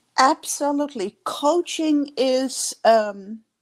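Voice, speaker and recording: The speaker has a Dutch accent. The intonation is lively. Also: woman. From Netherlands. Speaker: leadership coach. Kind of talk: interview.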